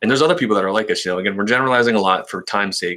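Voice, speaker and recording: On a very clean recording with a silent background, a man speaks with a fairly low pitch and a bright, sharp tone. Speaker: tech YouTuber. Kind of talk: casual chat. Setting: live stream. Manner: fast.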